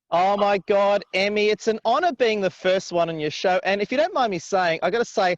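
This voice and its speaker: A man speaks at a fairly quick pace with an Australian accent and ordinary pitch variation. The sound is dry and close, with no echo. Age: 40s. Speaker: business coach and influencer. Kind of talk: interview. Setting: outdoors by a river, video call.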